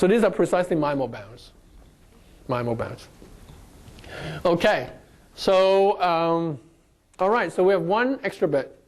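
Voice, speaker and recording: A slight non-native accent at a fairly slow pace, with long, frequent pauses. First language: not English. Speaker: lecturer. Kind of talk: lecture.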